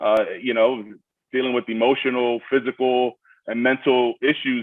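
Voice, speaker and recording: Here a man talks with a Brooklyn accent. His pitch is medium and his pace moderate. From Miami, Florida. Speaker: army veteran, college graduate. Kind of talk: panel Q&A personal story. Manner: halting, many fillers.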